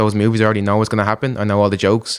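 A man with an Irish accent, fairly low in pitch, with monotone, flat intonation, in a very clean recording with a silent background. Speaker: online video creator and comedian. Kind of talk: casual podcast interview.

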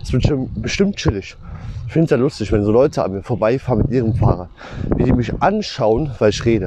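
A man talking at a very fast pace with lively intonation and long, frequent pauses, over noticeable background noise. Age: 20s. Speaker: podcaster and textile machine operator. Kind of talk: casual monologue. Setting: outdoors, riding a bicycle. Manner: animated.

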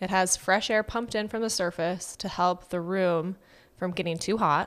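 A woman with an ordinary speaking voice talks at a moderate pace and medium pitch, keeping her intonation fairly even. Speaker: podcast host and storyteller. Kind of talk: narrated true story with casual banter.

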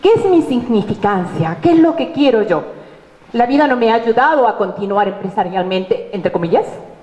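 With noticeable background noise and audible room echo, a woman speaks at a moderate pace in a fairly high voice, with very wide pitch swings but very even loudness. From Peru, Arequipa. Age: 50s. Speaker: university lecturer and tourism businesswoman. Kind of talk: conference talk.

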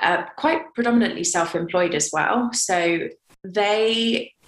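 Her pitch varies in an ordinary way. This woman talks in a British accent. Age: 20s. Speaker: model and campaigner. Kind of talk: interview.

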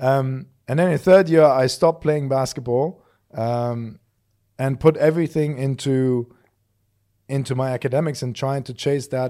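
In a very clean recording with a silent background, a man speaks at a moderate pace and medium pitch, his tone dark and mellow and his intonation fairly even. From Germany. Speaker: podcast host. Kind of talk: casual chat, podcast conversation.

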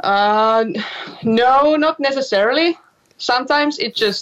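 A woman with a Finnish accent speaks at a very slow pace with lively intonation. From Finland. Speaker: singer and musician. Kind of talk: interview. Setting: remote call from home workroom.

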